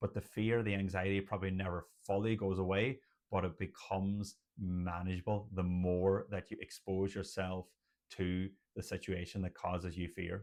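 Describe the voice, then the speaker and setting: Against a quiet background, a man with an Irish accent and a very deep, low pitch talks at a moderate pace in monotone, flat intonation. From Ireland. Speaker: general practitioner doctor. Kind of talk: educational talk to camera.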